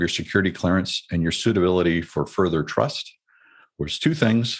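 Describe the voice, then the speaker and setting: A man with a normal speaking voice and an American accent uses lively intonation in a very clean recording with a silent background. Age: 60s. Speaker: retired military officer. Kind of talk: interview. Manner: reflective.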